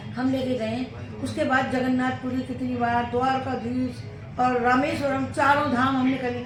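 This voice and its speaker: With hardly any pauses, a woman speaks amid noticeable background noise and audible room echo. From Faridabad, Haryana, India. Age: 70s. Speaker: mother-in-law of vlogger. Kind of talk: casual chat.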